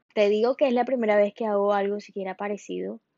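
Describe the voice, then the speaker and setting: A woman's medium-pitched voice, an ordinary speaking voice, with fairly even intonation. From Colombia. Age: 20s. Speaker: podcast host. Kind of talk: monologue podcast.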